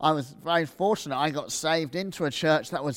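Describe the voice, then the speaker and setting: A man speaks loudly with ordinary pitch variation on a very clean recording with a silent background. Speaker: preacher. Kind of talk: sermon. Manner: animated, loud.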